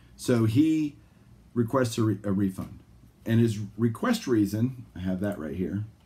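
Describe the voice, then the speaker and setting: A man speaks at a fairly slow pace and fairly low pitch with ordinary pitch variation. His voice is somewhat breathy, with a dark, mellow tone. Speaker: sports card collector and video host. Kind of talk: casual vlog monologue. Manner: animated, ranting.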